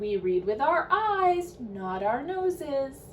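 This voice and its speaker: A woman's high-pitched put-on character voice at a fairly slow pace, with very wide pitch swings and clear background noise. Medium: read story. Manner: gentle, calm.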